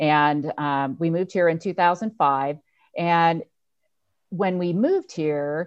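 A woman speaks in a normal speaking voice at a fairly slow pace, her fairly low pitch showing ordinary variation, with an American accent. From Northern California, Lake County. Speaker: dairy company executive. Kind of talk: interview. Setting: video call.

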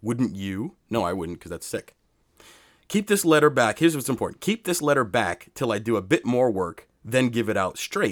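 His pitch swings very widely. The man keeps a moderate pace. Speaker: podcast co-host. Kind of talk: casual chat. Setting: studio.

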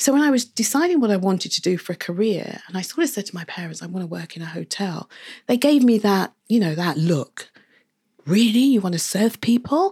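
Recorded very cleanly against a silent background, a woman speaks at a medium pitch with a somewhat breathy voice. Her pitch swings very widely, and her pace is fairly quick. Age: 60s. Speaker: coffee shop owner. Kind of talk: casual interview.

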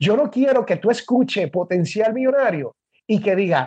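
A man talks in a Puerto Rican accent. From Puerto Rico. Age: 50s. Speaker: podcaster and author. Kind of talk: interview.

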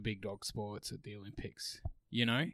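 A man talks at a moderate speed, captured on a very clean recording against a silent background. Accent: Australian. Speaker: podcast co-host. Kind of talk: casual chat.

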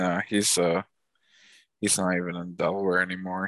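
A man with a very deep, low voice talks fairly quickly, his intonation fairly even. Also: quiet background. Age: 30s. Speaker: podcast co-host. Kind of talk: casual chat. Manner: monotone.

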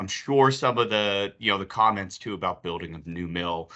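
This man has an unremarkable speaking voice with a fairly low pitch. He talks at a fairly quick pace with an American accent. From Pittsburgh, US. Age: 30s. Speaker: podcast host, business development. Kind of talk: interview; scripted intro.

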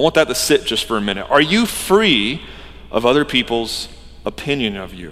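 Over noticeable background noise, a man speaks at a moderate pace and medium pitch, with very wide pitch swings and big swings in loudness. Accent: American. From US South, Georgia. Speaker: pastor. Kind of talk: sermon. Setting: church.

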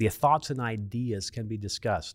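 A man with an American accent and an unremarkable speaking voice talks at a moderate pace and medium pitch in a very clean recording with a silent background. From Oklahoma, Pawnee County. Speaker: insurance regulator. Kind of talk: interview. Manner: formal.

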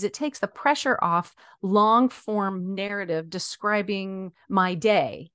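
A woman's normal speaking voice at a medium pitch with ordinary pitch variation, delivered at a fairly slow pace in a dry, close sound with no echo against a quiet background. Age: middle-aged. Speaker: podcast host and blogger. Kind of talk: casual chat.

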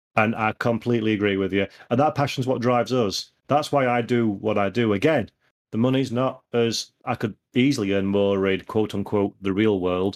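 Against a quiet background, a man with a Yorkshire accent talks at a moderate pace and fairly low pitch, his loudness very even. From Yorkshire, northern England. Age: 30s. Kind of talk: casual chat. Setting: video call. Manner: animated.

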